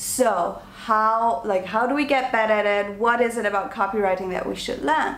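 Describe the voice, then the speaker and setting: With audible room echo, a woman speaks at a moderate pace in an animated tone, her fairly high pitch showing ordinary variation. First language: not English. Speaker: online business coach and vlogger. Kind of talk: talking-to-camera tutorial.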